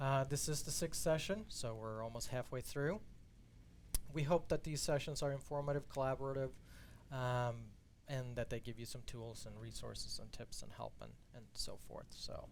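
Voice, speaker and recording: The pace is moderate as a man speaks. His volume rises and falls in big swings. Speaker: content strategist hosting a marketing webinar. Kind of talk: live-streamed presentation. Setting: company studio, live stream. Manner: low-key, not very passionate.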